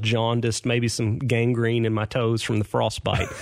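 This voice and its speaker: A man's medium-pitched voice with an American accent, over noticeable background noise. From Clarksville, Tennessee (US South). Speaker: banker and community volunteer. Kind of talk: casual interview. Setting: studio.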